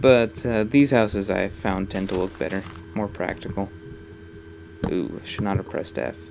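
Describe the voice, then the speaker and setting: Man with a fairly low pitch at a moderate pace, ordinary pitch variation, long, frequent pauses and noticeable background noise. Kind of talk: casual talk to camera. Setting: home recording, voice over gameplay.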